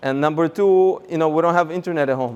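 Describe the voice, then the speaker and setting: In a Russian accent, a man talks at a very fast pace with fairly even intonation. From Russia, Moscow. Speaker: rabbi and seminar speaker. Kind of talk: seminar talk.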